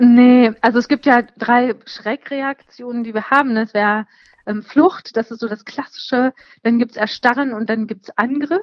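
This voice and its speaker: High-pitched woman's voice at a moderate pace with fairly even intonation, dry and close with no echo. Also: big swings in loudness. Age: 30s. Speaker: psychotherapist. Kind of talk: interview. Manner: hesitant, many filler sounds.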